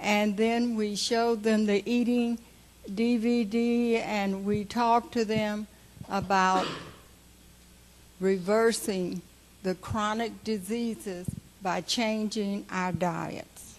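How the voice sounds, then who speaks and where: The woman's pitch is fairly high and her intonation fairly even. She talks very slowly, with long, frequent pauses. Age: 80s+. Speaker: health educator. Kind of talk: memorial speech. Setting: memorial service with audience.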